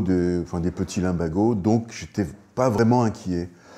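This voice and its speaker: At a very slow pace, a man speaks in a very deep, low pitch with a dark, mellow tone and ordinary pitch variation. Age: 60s. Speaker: lung cancer patient. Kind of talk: testimony. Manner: hesitant, many filler sounds.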